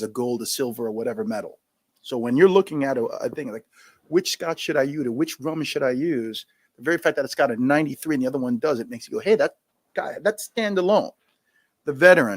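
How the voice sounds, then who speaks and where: Lively intonation in a New York accent comes at a very fast pace in a dry, close sound with no echo and a very clean recording with a silent background. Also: man. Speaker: scotch brand founder, retired Marine. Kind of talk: live podcast Q&A. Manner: energetic.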